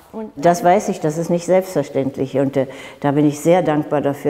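Her voice is very deep and low, with a dark, mellow tone and fairly even intonation, as this woman speaks. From Berlin, Germany. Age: 80s+. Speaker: ballet teacher. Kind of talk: TV interview answer. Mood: warm, sometimes smiling. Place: gym. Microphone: lapel.

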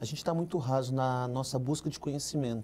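The man's voice has a dark, mellow tone. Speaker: pastor. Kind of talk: panel discussion. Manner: fast. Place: studio. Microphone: lapel.

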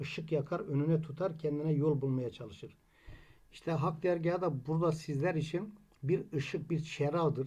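A man's voice sits at a fairly high pitch. Its tone is dark and mellow. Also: fairly even intonation, moderate pace. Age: 60s. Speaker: Alevi congregation member; presenter. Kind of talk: commentary summary. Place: home room. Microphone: webcam.

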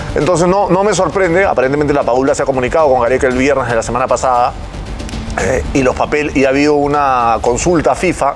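Faint music plays in the background as the speaker goes at a very fast pace, with very even loudness and ordinary pitch variation. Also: man. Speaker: sports commentator, guest. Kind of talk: commentary. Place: studio.

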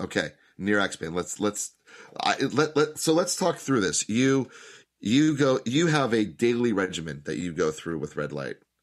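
In an enthusiastic tone, a man speaks at a moderate pace with vocal fry and very wide pitch swings. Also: medium pitch for a man. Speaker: podcast host. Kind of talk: casual interview. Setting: video call. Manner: halting, repeats words.

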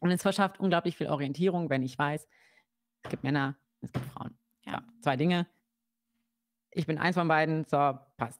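A woman at a moderate pace with long, frequent pauses and ordinary pitch variation, in a very clean recording with a silent background and a dry, close sound with no echo. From Germany, Kassel (Hesse). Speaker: psychologist. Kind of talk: interview on a livestream. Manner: hesitant, many fillers.

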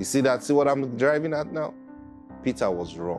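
A man talks while clear music plays in the background. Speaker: preacher. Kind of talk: sermon. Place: studio. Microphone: lapel.

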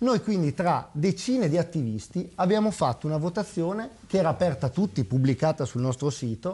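This man has a high voice that swings very widely in pitch. He talks at a fairly quick pace with very even loudness. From Parma, northern Italy; northern Italy. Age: 30s. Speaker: local political candidate; candidate. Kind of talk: TV political debate. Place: studio.

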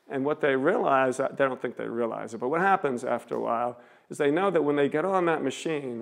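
Over a quiet background, a man speaks at a moderate pace. His pitch varies in an ordinary way. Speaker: street preacher giving a seminary lecture. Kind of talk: public lecture to an audience. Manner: conversational, stream-of-consciousness. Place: hall.

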